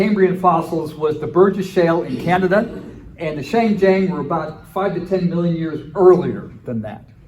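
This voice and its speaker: Noticeable background noise and audible room echo surround a man's voice. He speaks at a high pitch with ordinary pitch variation. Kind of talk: conference lecture. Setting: conference breakout session with audience. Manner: fast.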